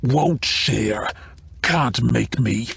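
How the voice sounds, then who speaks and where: Putting on a character voice, a man growls in a raspy tone at a medium pitch, with light background noise. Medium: read story. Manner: broken, clipped speech.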